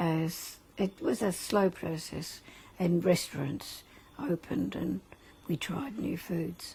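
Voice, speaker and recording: A woman with an Australian accent speaks very slowly in a fairly low voice, her intonation lively. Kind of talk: interview answer. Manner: casual, reflective.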